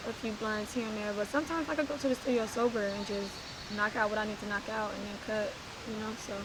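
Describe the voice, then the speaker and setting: Amid noticeable background noise and audible room echo, a woman speaks very fast in a fairly high pitch with fairly even intonation. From East Oakland, California. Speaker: rapper. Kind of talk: casual interview.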